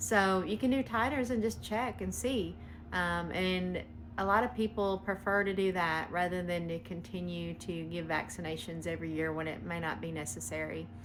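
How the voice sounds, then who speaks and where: Audible room echo surrounds a woman in a Southern US accent. She talks at a moderate pace. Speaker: veterinarian. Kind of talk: answering a viewer question. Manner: casual, hesitant with frequent ums.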